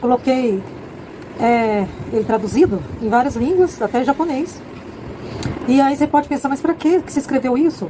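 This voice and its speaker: A woman speaks in a high voice with lively intonation. Her pace is moderate, broken by long, frequent pauses. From Brazil, rural farm upbringing. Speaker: author and content creator. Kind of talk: casual monologue promoting her book. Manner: halting, with false starts.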